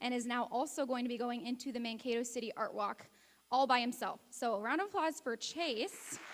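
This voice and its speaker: Loud and high-pitched, a woman speaks at a moderate pace. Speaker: teacher presenting awards. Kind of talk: awards ceremony speech.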